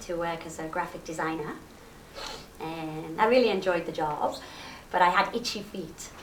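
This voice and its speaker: A woman with a Liverpool accent, fairly low pitch, ordinary pitch variation, a moderate pace, long and frequent pauses, big swings in loudness, and noticeable background noise. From Liverpool, England. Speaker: rakugo comedian. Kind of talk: interview answer. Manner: lively, cheerful.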